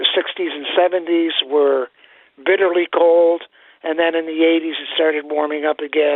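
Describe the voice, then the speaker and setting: The delivery comes at a moderate pace. The intonation is monotone and flat. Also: man. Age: 70s. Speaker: caller. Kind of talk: radio phone-in call. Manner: hesitant, many fillers.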